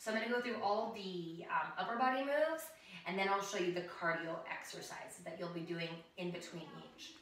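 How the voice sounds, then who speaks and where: A woman speaks with ordinary pitch variation. There is light background noise and audible room echo. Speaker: fitness instructor. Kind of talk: tutorial. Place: home room. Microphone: camera far.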